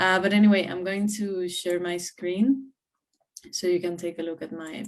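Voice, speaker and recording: This woman talks at a moderate pace. She has a Spanish accent. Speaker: community network regional coordinator. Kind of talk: conference presentation. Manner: hesitant, many fillers.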